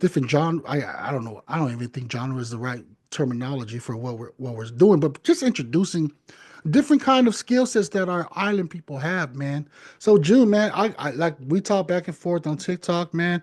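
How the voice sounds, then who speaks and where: Against a quiet background, a man speaks at a fairly high pitch with very wide pitch swings. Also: fairly quick pace, big swings in loudness. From Polynesian. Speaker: podcast host. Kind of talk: casual interview chat.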